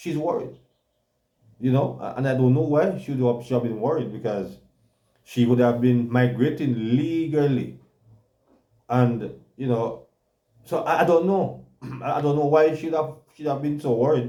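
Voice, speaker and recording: A man with a Jamaican accent, a medium pitch and a dark, mellow tone, with ordinary pitch variation, a moderate pace, long, frequent pauses and audible room echo. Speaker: talk show co-host. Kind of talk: casual chat. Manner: halting, many repetitions.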